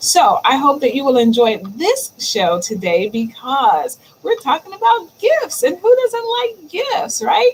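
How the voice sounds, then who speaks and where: A woman with a high pitch talks at a fairly slow pace with hardly any pauses, over noticeable background noise. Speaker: digital marketing livestream host. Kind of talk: solo livestream talk. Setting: live stream. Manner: stammers at times; casual, chatty.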